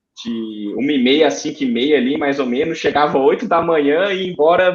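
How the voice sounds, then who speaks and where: Speaking with a Ceará accent, a man uses lively intonation at a fairly slow pace and a fairly high pitch. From Brazil, Ceará (Fortaleza). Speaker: aeronautical engineer, guest. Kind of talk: interview, personal story. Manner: hesitant, with fillers.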